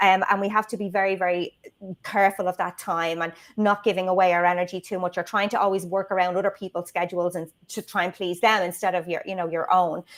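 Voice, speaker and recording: In a very clean recording with a silent background, a woman with an Irish accent talks at a very fast pace, medium in pitch and monotone, with flat intonation. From Ireland, Dublin. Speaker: video marketing strategist. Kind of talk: casual interview chat. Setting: livestream.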